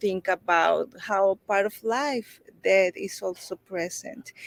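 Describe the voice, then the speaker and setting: Ordinary pitch variation in a Mexican accent, with a dry, close sound and no echo. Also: woman. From Mexico (Veracruz). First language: Spanish. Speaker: children's book author. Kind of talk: interview.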